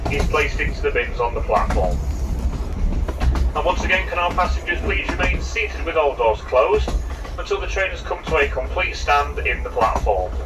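Noticeable background noise accompanies speech delivered at a fairly quick speed. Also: man. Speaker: railway staff announcer. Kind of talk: public announcement. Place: train.

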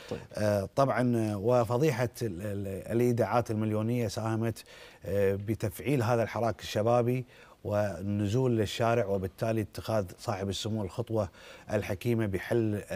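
A man with a fairly low pitch and a dark, mellow tone. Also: fairly even intonation, fairly slow pace. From Kuwait. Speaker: politician, parliamentary candidate; election candidate. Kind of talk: TV political interview. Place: studio. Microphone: lapel.

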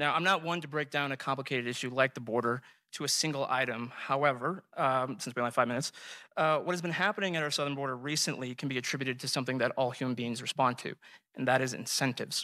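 Against a quiet background, a man talks at a very fast pace in a bright, sharp tone. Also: ordinary pitch variation. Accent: American. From US. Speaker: debater. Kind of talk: formal debate. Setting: stage with audience. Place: hall. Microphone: podium.

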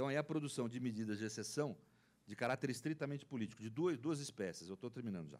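With lively intonation, a man talks very fast. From Brazil. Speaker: law professor; panelist. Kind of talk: panel debate talk. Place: meeting room. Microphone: handheld.

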